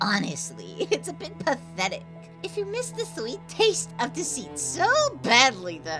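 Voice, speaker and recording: A female-sounding voice performs a put-on character voice at a moderate pace. Clear music plays in the background. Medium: dub. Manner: mocking, contemptuous.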